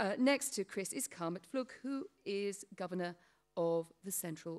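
With lively intonation, a woman talks over a quiet background. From Britain. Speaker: panel moderator. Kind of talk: panel discussion. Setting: stage with audience. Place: hall. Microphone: podium.

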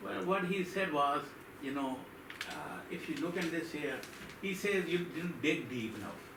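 Amid noticeable background noise and audible room echo, a man talks at a fairly slow pace in a high pitch with ordinary pitch variation. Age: 70s. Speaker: resident addressing town board. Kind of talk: public comment at town meeting. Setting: town board meeting. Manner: halting.

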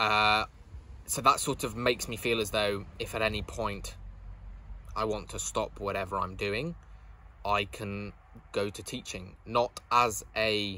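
A man with a British accent talks at a fairly slow pace in a fairly low pitch, with a bright, sharp tone and a dry sound with no echo. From UK. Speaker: university student vlogger. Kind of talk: casual vlog recap. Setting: home, sit-down video. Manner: casual, with fillers. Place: garden. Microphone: phone near.

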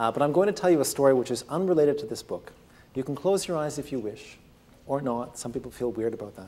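A man talks very fast with lively intonation and big swings in loudness. His voice is fairly high, with a dark, mellow tone. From Canada, Ontario. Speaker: physician and author. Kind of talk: lecture; storytelling. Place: classroom.

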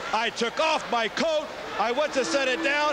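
A man at a fairly slow pace under loud background noise. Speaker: professional wrestler / wrestling manager. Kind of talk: wrestling promo, boastful and angry, addressing a rival. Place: studio. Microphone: handheld.

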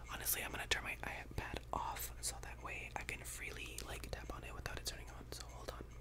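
A man whispers at a fairly quick pace with hardly any pauses. Loud background noise runs underneath. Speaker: ASMR creator. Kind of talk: ASMR whispered ramble. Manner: whispered. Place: home room. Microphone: studio mic.

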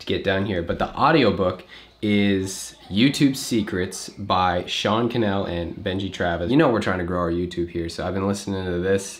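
Moderate pace from a man with a fairly low pitch. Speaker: vlogger. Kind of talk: casual vlog chat. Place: home room. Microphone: phone near.

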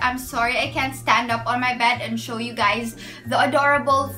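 A woman talks fairly slowly, with faint background music. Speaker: vlogger. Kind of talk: casual vlog chat. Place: home room. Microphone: phone near.

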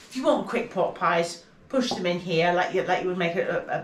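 A woman speaks at a moderate pace with ordinary pitch variation. Audible room echo and light background noise are present. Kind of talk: tutorial. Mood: relaxed, chatty. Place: kitchen. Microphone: phone near.

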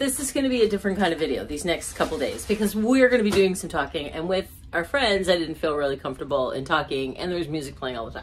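A woman speaks with a fairly low pitch and very wide pitch swings over light background noise. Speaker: travel vlogger. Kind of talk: casual vlog chat. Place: home room. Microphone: phone near.

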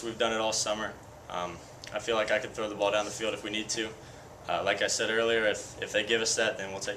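A man rattles off his words very fast, with a little noise in the background. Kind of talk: interview answer. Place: hall. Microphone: handheld.

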